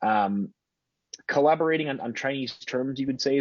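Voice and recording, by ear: Talking at a fairly quick pace, a man shows a slightly mellow tone with a slightly husky edge and ordinary pitch variation.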